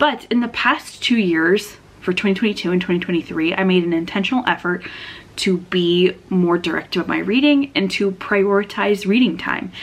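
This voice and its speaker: An ordinary speaking voice from a woman, medium pitch, ordinary pitch variation and a moderate pace. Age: 20s. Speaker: booktuber. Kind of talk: casual chat.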